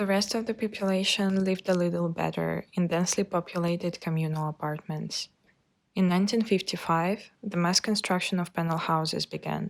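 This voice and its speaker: With a Russian accent, a woman talks at a fairly quick pace in a fairly low pitch and fairly even intonation, on a very clean recording with a silent background. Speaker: architecture student. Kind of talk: scripted narration.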